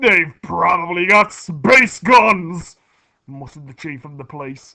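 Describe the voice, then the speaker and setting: Someone shouts in a put-on character voice at a middle pitch. The pace is fairly slow. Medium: read story. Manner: shouting, excitable.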